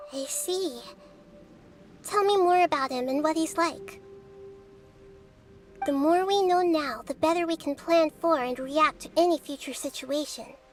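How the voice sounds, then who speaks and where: A put-on character voice with a high pitch at a moderate pace, broken by long, frequent pauses. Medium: video game. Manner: calm, measured.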